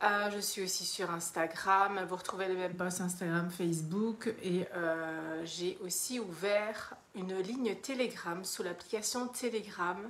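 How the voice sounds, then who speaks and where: Very slow speech from a woman, medium in pitch and fairly even in intonation. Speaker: mentor for women, online coach. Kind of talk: live stream monologue, self-promotion. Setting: live video. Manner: hesitant, many fillers.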